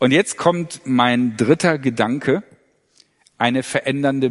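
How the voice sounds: At a slow pace, a man talks at medium pitch with ordinary pitch variation.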